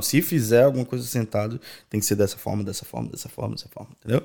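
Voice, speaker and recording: A man at a very fast pace and medium pitch, in a very clean recording with a silent background. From Brazil, Natal (Rio Grande do Norte). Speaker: event producer. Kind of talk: casual interview.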